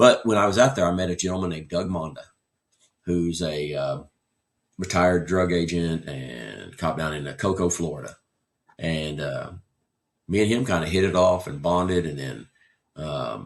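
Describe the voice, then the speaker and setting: A man with an American accent and a very deep, low voice with vocal fry talks at a moderate pace with ordinary pitch variation and long, frequent pauses. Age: 60s. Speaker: retired firefighter. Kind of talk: interview. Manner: halting, many fillers.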